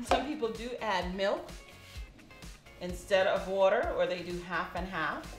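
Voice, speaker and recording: A woman at a fairly slow pace, with long, frequent pauses and music in the background. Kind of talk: cooking demonstration.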